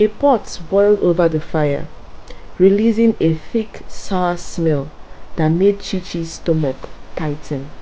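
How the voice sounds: Slowly, a woman speaks with fairly low pitch, a dark, mellow tone and ordinary pitch variation.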